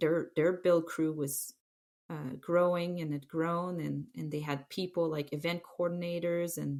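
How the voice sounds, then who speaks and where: In a French Canadian accent, a woman speaks at a fairly low pitch and a fairly slow pace. Her intonation is fairly even, and the recording is very clean with a silent background. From Quebec City, Canada. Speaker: former ski terrain park manager. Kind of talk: podcast interview. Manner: halting, many fillers.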